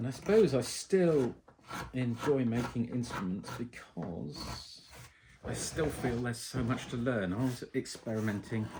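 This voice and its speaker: A man with an English accent speaks at a fairly slow pace in a relaxed tone, his voice at a medium pitch. His intonation is lively, and there is noticeable background noise. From England. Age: 50s. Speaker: violin maker. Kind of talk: casual chat while working. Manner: relaxed, hesitant with many ums.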